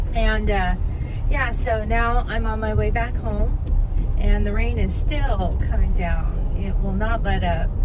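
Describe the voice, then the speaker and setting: Over loud background noise, a woman talks at a very slow pace. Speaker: delivery driver vlogger. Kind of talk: casual vlog chat. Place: car. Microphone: phone near.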